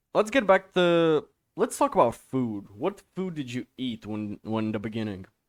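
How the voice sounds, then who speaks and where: A man of medium pitch talks at a fairly slow pace with a non-native accent and very wide pitch swings. The sound is dry and close, with no echo. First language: not English. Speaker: podcast host. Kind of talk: casual podcast interview. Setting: video call.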